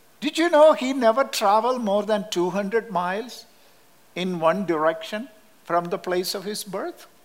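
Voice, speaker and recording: A man with a Kerala accent speaks in a high voice for a man. His intonation is lively and his pace fairly slow. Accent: Indian (Kerala) English. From Kerala, southern India. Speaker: missionary Bible teacher. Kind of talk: sermon. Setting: church.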